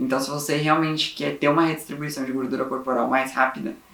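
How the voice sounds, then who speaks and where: The speech comes very fast with ordinary pitch variation and audible room echo. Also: man. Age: 20s. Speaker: vlogger. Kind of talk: personal vlog. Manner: casual.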